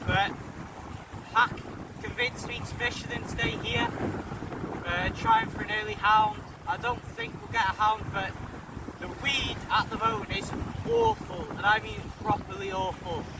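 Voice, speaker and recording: Shouting over noticeable background noise, a man with a high pitch speaks at a moderate pace in a monotone, flat intonation, with long, frequent pauses. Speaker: fishing vlogger. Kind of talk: casual vlog to camera. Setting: outdoors on a windy beach. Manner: shouting over wind.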